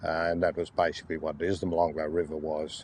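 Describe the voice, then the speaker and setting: A man with a very deep, low voice and an Australian accent talks at a very fast pace. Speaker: oral history interviewee. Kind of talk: oral history interview.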